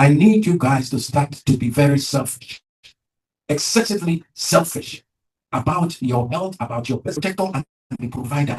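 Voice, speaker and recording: Lively intonation and a moderate pace mark this somewhat breathy voice. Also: man, fairly high pitch for a man. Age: 70s. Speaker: prostate cancer survivor. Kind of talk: testimony.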